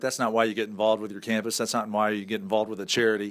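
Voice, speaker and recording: This man has an American accent, and the recording is very clean with a silent background. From northern US. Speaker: radio talk show host. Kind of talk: interview. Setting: stage with audience. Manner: animated.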